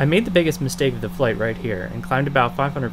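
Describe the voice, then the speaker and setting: Speaking at a very fast pace, a man talks over music in the background. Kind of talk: commentary.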